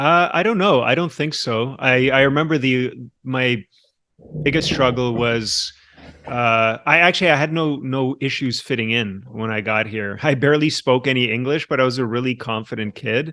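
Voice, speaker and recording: A man's medium-pitched voice with a bright, sharp tone and ordinary pitch variation. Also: moderate pace. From Latvia, moved to Canada at nine. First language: Russian. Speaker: addiction recovery podcast host. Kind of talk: casual interview chat.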